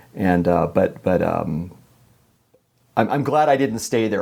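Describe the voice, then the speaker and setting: A man talks with a Californian accent. His pitch is fairly low and his pace moderate. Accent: General American (Californian). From Los Angeles, California. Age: 60s. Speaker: musician. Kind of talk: podcast interview. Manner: halting, many repetitions and fillers.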